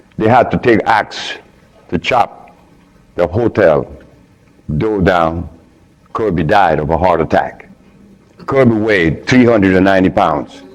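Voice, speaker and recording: Against noticeable background noise, a man with a very deep, low pitch speaks fairly slowly with ordinary pitch variation and long, frequent pauses. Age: 70s. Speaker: lecturer on diet and health. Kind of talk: lecture.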